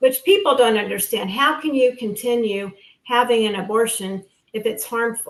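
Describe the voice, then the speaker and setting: With an ordinary speaking voice, a woman talks at a moderate pace, fairly high in pitch, with ordinary pitch variation. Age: 60s. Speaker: guest sharing post-abortion experience. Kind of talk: testimony.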